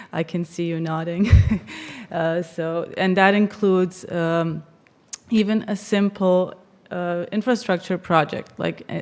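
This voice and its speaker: A woman speaks with a Bosnian accent at a medium pitch. Her intonation stays fairly even. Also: fairly slow pace. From Bosnia and Herzegovina. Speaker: political affairs professional. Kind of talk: conference presentation.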